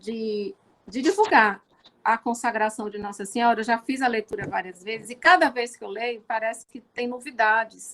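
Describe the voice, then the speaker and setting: A woman at a fairly high pitch and moderate pace. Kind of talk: religious talk. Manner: talkative.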